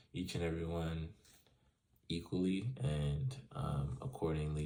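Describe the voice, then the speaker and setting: A man's dark, mellow voice at a fairly slow pace. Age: 20s. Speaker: student. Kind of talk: reading questions and answering them, casual monologue. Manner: casual, many fillers.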